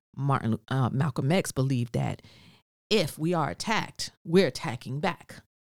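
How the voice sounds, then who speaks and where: A woman speaks with an American accent at a very deep, low pitch and with lively intonation. The recording is very clean, with a silent background. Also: moderate pace. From New Jersey. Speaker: cosmetology educator. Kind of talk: casual chat.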